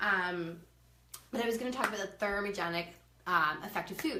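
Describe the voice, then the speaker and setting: Speech from a woman, with noticeable background noise and audible room echo. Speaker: nutrition coach. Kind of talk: live stream talk. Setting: live video stream. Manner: fast.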